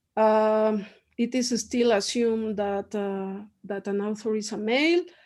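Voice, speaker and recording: A dark, mellow tone with a strong Mexican accent against a quiet background. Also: woman. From Mexico. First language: Spanish. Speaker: professor. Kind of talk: interview.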